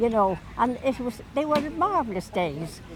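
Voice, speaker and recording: A woman speaks with a Dublin accent, her pitch swinging very widely. Noticeable background noise is present. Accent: Dublin Irish. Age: 80s+. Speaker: elderly local resident. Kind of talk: casual reminiscing interview. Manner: halting.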